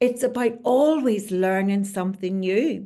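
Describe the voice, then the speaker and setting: Speaking in a Northern Irish accent, the voice has a dark, mellow tone, lively intonation and a fairly slow pace. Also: woman. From Northern Ireland, Belfast. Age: 70s. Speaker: leadership coach. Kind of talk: interview.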